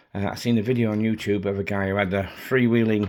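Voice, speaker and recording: A man talks at a fairly quick pace with a British accent. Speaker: RC model hobbyist. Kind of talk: casual hobby video update. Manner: hesitant, many fillers.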